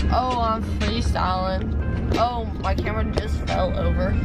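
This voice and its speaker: Loud music plays in the background as a woman speaks at a very slow pace. The sound is dry, without echo. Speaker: vlogger after dental surgery. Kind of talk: casual vlog chat, improvised freestyle rap. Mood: groggy, silly, drowsy. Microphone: phone near.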